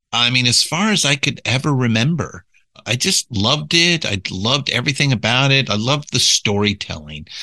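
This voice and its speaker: A man with an American accent at medium pitch, his tone bright and sharp, with vocal fry, lively intonation, very even loudness and a moderate pace. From Southern California. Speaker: podcast company executive. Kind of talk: interview conversation.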